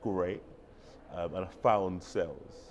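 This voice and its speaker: A man speaks very slowly with a London accent. The room echo is audible. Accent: noticeable London. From London, England. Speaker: tech sales professional and conference speaker. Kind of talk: interview. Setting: conference venue.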